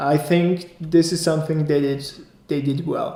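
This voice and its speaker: Amid audible room echo and noticeable background noise, a man delivers his words at a fairly slow pace. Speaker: vlogger. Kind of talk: personal review vlog. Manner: casual, with hesitations.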